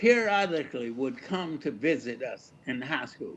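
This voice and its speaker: At a fairly slow pace, a man talks with very wide swings in pitch. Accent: Alabama. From Fairfield, Alabama. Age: 80s+. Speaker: retired reverend and educator. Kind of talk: community talk on personal history.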